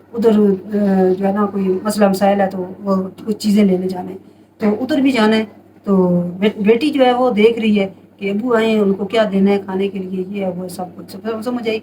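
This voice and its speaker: A woman speaks at a medium pitch with fairly even intonation. She has an ordinary speaking voice. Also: moderate pace. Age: 60s. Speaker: home remedy advisor. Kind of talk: casual advice monologue.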